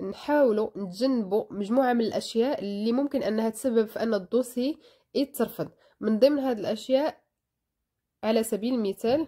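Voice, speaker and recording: On a very clean recording with a silent background, a woman with a Moroccan accent speaks at a moderate pace in a fairly high pitch, her tone dark and mellow, with ordinary pitch variation and big swings in loudness. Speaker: video blogger. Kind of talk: tutorial.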